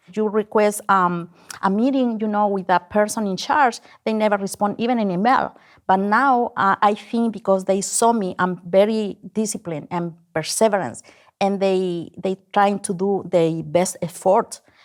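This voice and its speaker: In a very clean recording with a silent background, a woman speaks with a strong non-native accent. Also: medium pitch for a woman, fairly even intonation, moderate pace. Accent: heavy foreign. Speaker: business owner, contractor. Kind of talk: interview.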